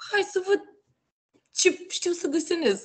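A woman's fairly slow speech comes through against a quiet background. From Romania, Constanța; Romania. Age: 20s. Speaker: NFT artist and creator; creator. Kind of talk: casual interview. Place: home room. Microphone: video call.

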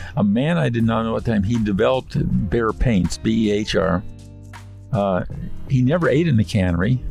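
A man speaks at a moderate pace and fairly low pitch with lively intonation, dry sound without echo and faint music in the background. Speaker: restaurant owner. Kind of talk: interview answer. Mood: reflective, storytelling. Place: car. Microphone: studio mic.

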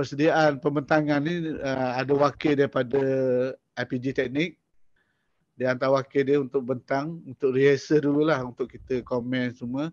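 A man talks at a fairly slow pace in a fairly high pitch. His intonation is monotone and flat. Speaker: lecturer, digital learning unit head. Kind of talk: online workshop lecture. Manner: casual, conversational.

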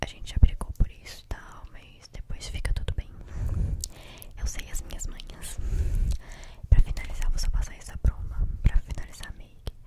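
In a whisper at a moderate pace, the speaker leaves long, frequent pauses. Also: woman. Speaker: ASMR creator. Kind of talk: soft casual makeup chat. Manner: soft close-mic ASMR murmur. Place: home room. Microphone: studio mic.

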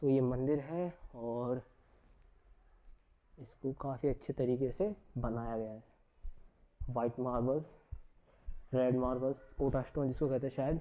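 Pausing long and often, a man talks at a fairly slow pace in a medium pitch with ordinary pitch variation.

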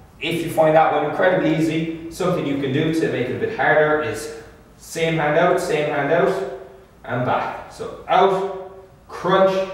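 A man speaks at a moderate pace amid strong room echo. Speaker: fitness trainer. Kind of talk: tutorial. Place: gym.

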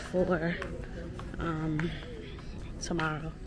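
Over crowd noise in the background, a woman speaks with an American accent in a monotone, flat intonation. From Brooklyn, New York; New York. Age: 30s. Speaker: lifestyle vlogger. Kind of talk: casual vlog talk to camera.

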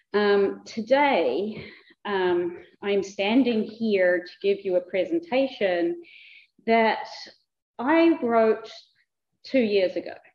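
A woman in a New Zealand accent, fairly high pitch and lively intonation, very slow pace with long, frequent pauses, big swings in loudness and audible room echo. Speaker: museum director. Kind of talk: conference presentation. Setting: lecture hall with audience and microphone. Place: hall. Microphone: too quiet at first, not speaking into microphone.

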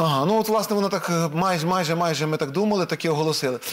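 Against a quiet background, a man's high voice moves with lively intonation. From Ukraine. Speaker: TV host. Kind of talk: TV political talk show. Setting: TV studio. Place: studio. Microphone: lapel.

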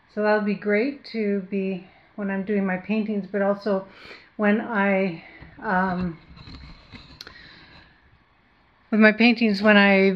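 A woman is speaking. Her pace is very slow. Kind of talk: casual vlog chat. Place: home room. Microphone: phone near.

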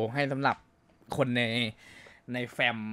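This is a normal speaking voice, heard with a dry, close sound and no echo. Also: man. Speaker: game streamer playing a roleplay server, acting as admin. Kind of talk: casual talk to camera.

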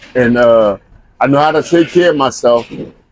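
With ordinary pitch variation, a man speaks in a dry sound with no echo. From Flint, Michigan. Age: 60s. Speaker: homeless man. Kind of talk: interview answer. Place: street.

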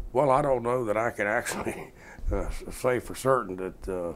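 A man with a Georgia accent talks at a fairly quick pace. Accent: southern US (Georgia). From south Georgia, US. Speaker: former congressman. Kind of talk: oral history interview. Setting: at home.

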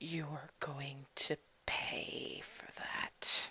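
Put on as a character voice, the delivery is raspy and growling at a low-to-middle pitch. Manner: threatening.

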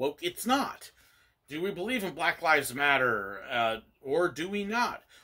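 Over a quiet background, a man speaks at a moderate pace in a bright, sharp tone with very wide pitch swings. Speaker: church commentator. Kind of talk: commentary. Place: home room. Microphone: phone near.

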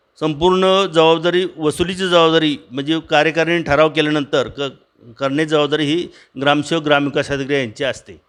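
With fairly even intonation, an ordinary speaking voice is heard. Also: man, fairly high pitch for a man. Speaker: retired government agricultural officer. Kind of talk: interview.

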